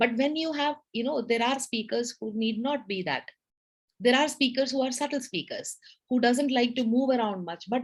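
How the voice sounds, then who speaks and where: Loud and animated, a woman talks at a moderate pace with a high pitch and ordinary pitch variation. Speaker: public speaking club leader. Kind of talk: educational talk. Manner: loud, animated.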